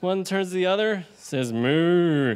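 A man speaks at a high pitch for a man. His pitch moves an ordinary amount. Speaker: event MC. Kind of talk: event hosting with jokes. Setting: pub event with live audience. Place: bar. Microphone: handheld.

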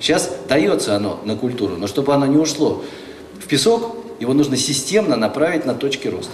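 A man with a fairly high pitch talks at a fairly quick pace with very wide pitch swings. Audible room echo and light background noise surround the voice. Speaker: legislator. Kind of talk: panel discussion. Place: hall. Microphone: handheld.

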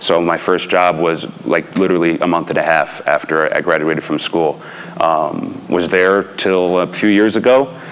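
This man speaks at a moderate pace with an American accent and a very deep, low pitch. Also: ordinary pitch variation. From New York. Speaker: horse race announcer. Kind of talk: panel storytelling. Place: hall.

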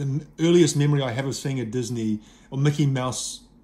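There is a somewhat breathy quality to this man's voice. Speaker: CD collector reviewer. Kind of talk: casual review chat. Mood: nostalgic, relaxed. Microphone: phone near.

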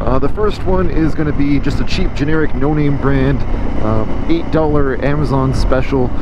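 There is noticeable background noise as a man talks in a dry recording with no echo. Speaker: motovlogger. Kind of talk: casual vlog chat. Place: motorbike. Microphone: lapel.

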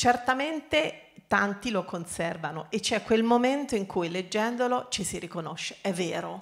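Against a quiet background, a woman talks at a fairly slow pace with lively intonation and hardly any pauses. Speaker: company archivist; speaker. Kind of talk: panel discussion. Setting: stage with audience. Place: hall. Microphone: handheld.

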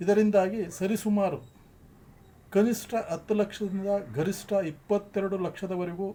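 A dark, mellow tone with fairly even intonation. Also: man, high pitch for a man. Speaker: retired tax officer and activist. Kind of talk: public appeal. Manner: halting.

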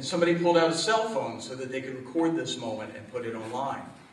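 Audible room echo surrounds the voice. There is light background noise as well. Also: man. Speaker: deacon. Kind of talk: homily-style speech. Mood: earnest, grave. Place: hall. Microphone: podium.

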